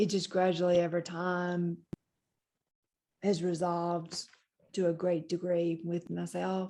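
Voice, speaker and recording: Her voice fairly low with a dark, mellow tone, a woman speaks in a monotone, flat intonation. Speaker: occupational therapist and stroke survivor. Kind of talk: support group talk. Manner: halting.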